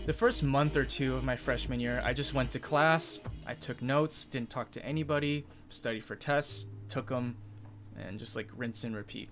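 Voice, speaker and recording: Music plays clearly in the background. The speech moves at a moderate pace. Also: man. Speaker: live streamer. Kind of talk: casual storytelling to stream chat.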